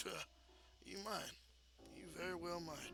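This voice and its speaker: Over clear background noise, a man puts on a raspy, drawling character voice with a high pitch at a moderate pace. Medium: actual play. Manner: drawling, slangy, says "man" often.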